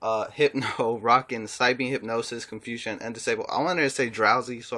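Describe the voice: Fairly even intonation in a plain read-aloud delivery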